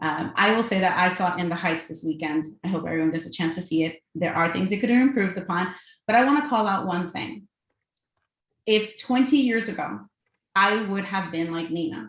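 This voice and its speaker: A woman with an American accent talks at a fairly quick pace and a medium pitch, with lively intonation. Her voice is somewhat breathy. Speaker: corporate real estate executive. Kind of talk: panel discussion. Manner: fast-talking.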